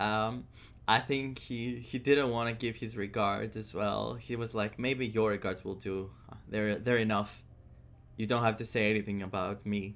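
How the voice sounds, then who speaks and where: A man's fairly low, monotone voice with flat intonation, a non-native accent and a moderate pace. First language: not English. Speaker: gaming streamer. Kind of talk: live game reaction. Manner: halting.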